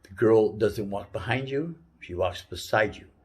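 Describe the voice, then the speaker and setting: Somewhat breathy, a man speaks at a medium pitch with ordinary pitch variation. His pace is moderate. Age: 60s. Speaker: life advice giver. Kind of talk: casual talk. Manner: halting.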